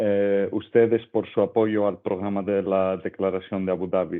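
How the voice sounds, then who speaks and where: A man talks with a non-native accent. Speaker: UN crime prevention officer. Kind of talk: webinar presentation. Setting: video call.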